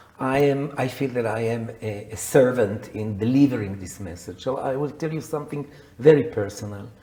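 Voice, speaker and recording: Amid audible room echo, a man talks at a moderate pace and medium pitch, with ordinary pitch variation and big swings in loudness. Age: 70s. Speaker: psychotherapist and coach. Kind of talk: interview.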